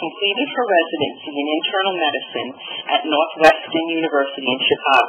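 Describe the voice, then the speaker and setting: Noticeable background noise sits behind this recording. A woman speaks with a fairly low pitch and lively intonation. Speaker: webinar moderator. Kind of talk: webinar introduction. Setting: webinar.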